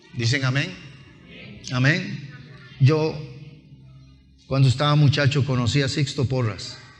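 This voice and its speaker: A man with a fairly high pitch talks at a fairly slow pace with fairly even intonation and long, frequent pauses, with audible room echo and music in the background. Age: 60s. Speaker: pastor. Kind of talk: sermon. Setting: church.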